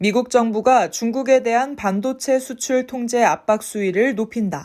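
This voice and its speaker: On a very clean recording with a silent background, the speech goes at a fairly slow pace with ordinary pitch variation. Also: woman, fairly high pitch for a woman. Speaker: voice and speech coach. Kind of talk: news article reading, sentence by sentence for repetition practice. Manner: clear, crisp articulation.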